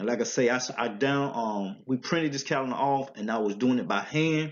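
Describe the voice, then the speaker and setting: A man talks in a strong Southern US accent at a fairly quick pace, his medium pitch showing ordinary variation. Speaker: religious teacher. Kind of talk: religious teaching talk. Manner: halting.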